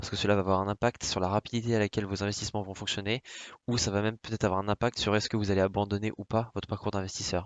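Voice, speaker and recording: Intonation stays monotone and flat. Delivery is very fast. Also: man. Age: 20s. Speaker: finance YouTuber. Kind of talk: presentation to camera. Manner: hesitant, many fillers.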